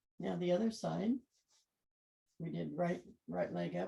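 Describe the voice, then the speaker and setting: A woman mumbles quietly. She talks at a fairly slow pace. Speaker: yoga instructor. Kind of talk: guided yoga class. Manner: mumbling; too quiet.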